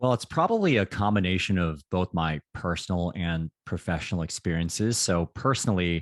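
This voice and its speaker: A man with an American accent and a very deep, low pitch talks at a moderate pace with hardly any pauses and ordinary pitch variation. The sound is dry and close, with no echo. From United States. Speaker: career consultant. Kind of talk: interview.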